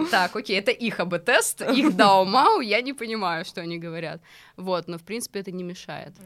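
In a very clean recording with a silent background, a woman with an ordinary speaking voice talks at a fairly quick pace. Her pitch is medium with ordinary pitch variation, and her loudness swings widely. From Russia, small settlement. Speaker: YouTube show host, travel organizer. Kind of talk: casual chat.

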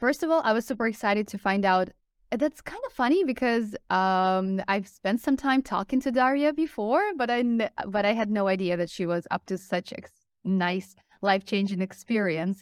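A woman speaks in a normal speaking voice, fairly high-pitched, with lively intonation at a moderate pace. The sound is dry and close, with no echo. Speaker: English teacher. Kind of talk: casual chat. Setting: video call.

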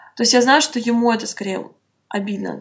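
An ordinary speaking voice from a woman, fairly high in pitch, fairly quick, with fairly even intonation. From Russia, Saint Petersburg. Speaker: blogger. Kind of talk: interview.

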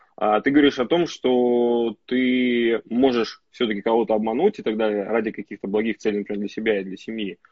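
In a plain, everyday voice, a man speaks at medium pitch and a fairly quick pace. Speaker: entrepreneur, pizza and sushi chain owner. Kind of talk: casual live-stream chat. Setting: Instagram live stream, online.

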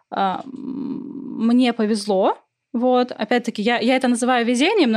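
The speaker is a woman. Her pitch is fairly high. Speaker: literary podcaster, philologist. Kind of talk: casual interview.

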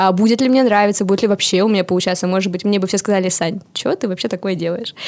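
Her intonation fairly even, a woman with a medium pitch talks at a very fast pace. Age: 20s. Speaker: podcaster and PR specialist. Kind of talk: interview.

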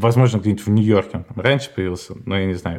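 This man's voice is fairly low in pitch. The rise and fall of his pitch is ordinary. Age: 30s. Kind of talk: casual chat. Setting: call.

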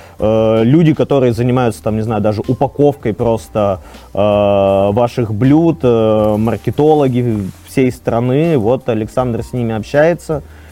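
A man speaks very slowly in a dark, mellow tone, his pitch sitting in the medium range with ordinary variation. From Russia, Arkhangelsk. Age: 30s. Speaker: startup co-founder. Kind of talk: podcast interview.

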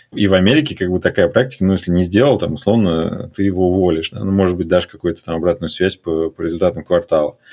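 A man's very deep, low voice at a very fast pace, with ordinary pitch variation and hardly any pauses. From Russia. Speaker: corporate strategy executive. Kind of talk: casual interview chat.

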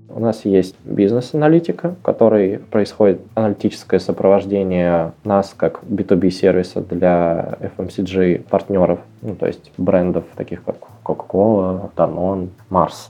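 Very deep, low-pitched man at a very slow pace with fairly even intonation. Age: 20s. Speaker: head of analytics at a tech company. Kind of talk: interview.

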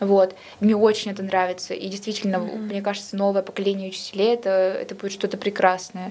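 Very fast and with monotone, flat intonation, a woman speaks at a medium pitch over noticeable background noise. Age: 20s. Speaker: history student. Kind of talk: casual chat.

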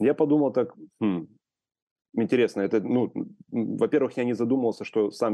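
The speaker is male. His delivery moves at a moderate pace. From Ukraine. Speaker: photographer, collector and publisher. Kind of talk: interview conversation.

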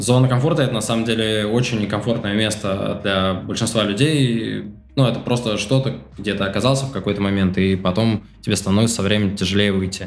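Audible room echo surrounds a man with a fairly low pitch and very even loudness. He talks at a fairly quick pace with fairly even intonation. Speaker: project management educator, online school founder. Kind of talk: casual interview.

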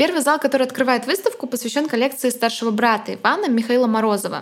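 A woman with a high pitch talks as noticeable background noise continues. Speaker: art podcast co-host, art historian. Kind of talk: casual chat with lecture-like explanations. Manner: solemn, lofty.

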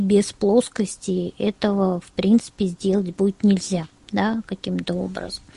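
Her voice is at a medium pitch with a dark, mellow tone and a somewhat breathy quality, and the woman speaks at a moderate pace with fairly even intonation in a dry, close sound with no echo. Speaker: head of a tourism accessibility organization, blind tour guide. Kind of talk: webinar presentation. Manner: clear, well-structured speech.

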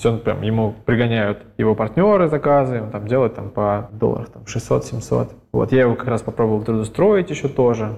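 A man's dark, mellow voice at medium pitch and moderate pace, with ordinary pitch variation and big swings in loudness. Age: 30s. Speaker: entrepreneur. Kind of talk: interview.

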